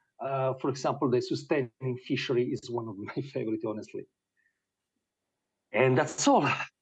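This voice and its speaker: A man talks at a medium pitch with a somewhat breathy sound. His speech is broken by long, frequent pauses. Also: fairly even intonation, moderate pace. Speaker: presenter at ocean data conference. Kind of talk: conference presentation. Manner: halting.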